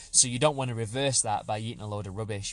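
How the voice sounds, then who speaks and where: Over a quiet background, a man with an English accent speaks in a somewhat breathy medium pitch with fairly even intonation. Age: 30s. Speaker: fitness podcast host, personal trainer. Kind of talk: solo podcast monologue. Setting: parked outside a supermarket.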